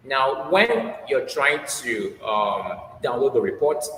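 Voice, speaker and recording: Noticeable noise fills the background. Through it, a man is talking. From Nigeria. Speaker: HR manager and researcher. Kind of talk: interview.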